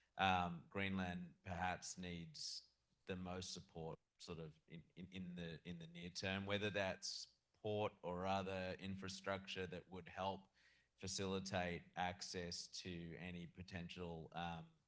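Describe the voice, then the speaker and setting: Speaking at a fairly slow pace with an Australian accent, a man uses a very deep, low pitch and monotone, flat intonation. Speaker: audience member, lawyer. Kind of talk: audience question at panel. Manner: halting, many repetitions.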